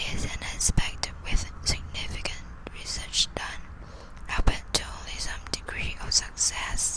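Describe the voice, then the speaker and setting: A whisper at a fairly slow pace over noticeable background noise. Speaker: ASMR creator, student. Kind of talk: dry scientific report reading, sleep ASMR. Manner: slow, whispered, with occasional stumbles.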